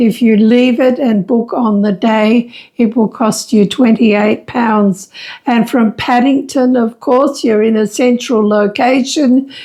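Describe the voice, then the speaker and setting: A woman's fairly high, dark, mellow voice at a fairly slow pace, with very even loudness and fairly even intonation. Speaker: travel vlogger. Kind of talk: casual chat. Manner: halting.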